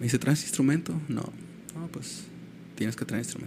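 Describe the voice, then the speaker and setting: A man talks at a medium pitch. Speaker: musician. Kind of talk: casual chat. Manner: animated.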